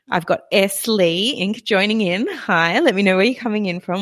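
An Australian accent comes through. The voice belongs to a woman. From Australia, Victorian south coast. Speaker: podcast host. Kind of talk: live solo podcast talk with listener chat. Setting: live online broadcast. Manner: animated.

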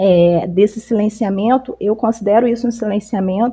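Her voice is dark, mellow and somewhat breathy, at a medium pitch for a woman. She keeps a moderate pace with fairly even intonation. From Campos dos Goytacazes, Rio de Janeiro state, Brazil. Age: 30s. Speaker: psychologist and activist. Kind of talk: casual discussion podcast. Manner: halting, many fillers.

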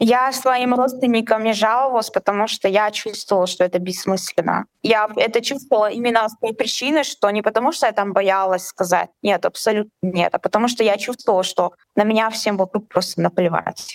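Very even in loudness and with hardly any pauses, a woman with an unremarkable speaking voice talks at a fairly quick pace, her fairly high pitch showing ordinary variation, in dry, close sound with no echo. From Chechnya. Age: 20s. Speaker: guest sharing personal story. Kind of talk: testimony in conversation.

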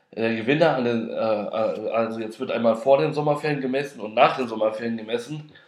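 A man at a very fast pace with ordinary pitch variation and audible room echo. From Frankfurt am Main, Hesse, Germany. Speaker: podcast host. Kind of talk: casual personal monologue. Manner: hesitant, many filler sounds.

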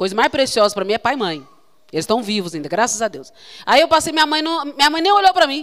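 At a very fast pace, a woman talks in an animated tone with very wide pitch swings. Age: 40s. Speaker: consecrated religious sister preaching. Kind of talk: sermon.

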